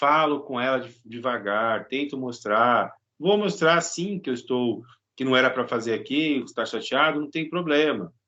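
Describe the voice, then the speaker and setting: The man's tone is bright and sharp, with a medium pitch. He speaks at a moderate pace with ordinary pitch variation. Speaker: psychology professor and psychologist. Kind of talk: lecture.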